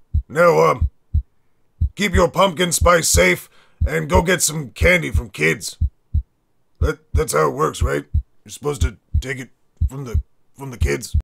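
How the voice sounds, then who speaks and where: A man talks at a moderate pace with long, frequent pauses, using a raspy put-on character voice at medium pitch with very wide pitch swings. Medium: voice reel. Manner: rambling, profane.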